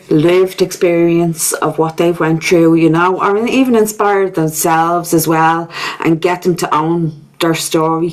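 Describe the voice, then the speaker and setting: Noticeable background noise sits under a woman speaking fairly slowly in a Dublin accent, her fairly low voice flat and monotone. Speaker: podcast host. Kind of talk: casual chat.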